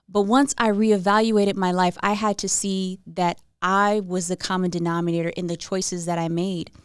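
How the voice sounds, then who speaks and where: Fairly even in intonation, a woman talks at a moderate pace and medium pitch. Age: adult. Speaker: podcast host. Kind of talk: personal reflective podcast monologue.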